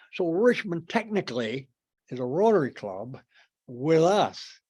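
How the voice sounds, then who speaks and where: On a very clean recording with a silent background, a man talks very slowly, his pitch swinging very widely. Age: 80s+. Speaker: club founding member. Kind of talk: after-dinner talk to club. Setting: meeting room with audience. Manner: halting, many fillers.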